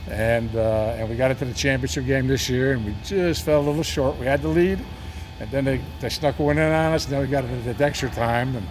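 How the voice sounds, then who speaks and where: A man at a medium pitch talks at a very fast pace with lively intonation, and the room echo is audible. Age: 70s. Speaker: sports team owner. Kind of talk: interview. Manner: conversational with many fillers.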